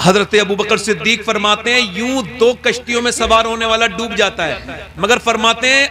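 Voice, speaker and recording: A man's raised, projected voice at an extremely high pitch, moderate pace and fairly even intonation, over noticeable background noise. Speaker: Islamic preacher. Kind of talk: sermon. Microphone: echo on PA mic.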